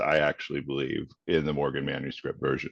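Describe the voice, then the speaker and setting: The man's voice carries vocal fry. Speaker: literary scholar. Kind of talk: academic question. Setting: video call, audio only.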